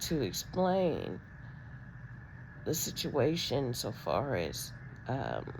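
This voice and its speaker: Room echo is audible as a woman speaks very slowly at a very deep, low pitch. Her voice has vocal fry and very wide pitch swings. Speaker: vlogger with spinal disc disease. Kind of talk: personal video diary. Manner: halting, many ums.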